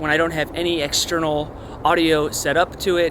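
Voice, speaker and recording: A man with a high pitch amid noticeable background noise. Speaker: camera gear YouTuber. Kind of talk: tutorial. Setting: outdoors. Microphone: camera built-in mic, about two feet away.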